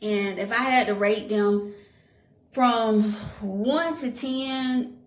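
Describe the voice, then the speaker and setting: A woman speaks in a space with audible echo, and background noise can be clearly heard. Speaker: YouTuber. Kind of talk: casual vlog review.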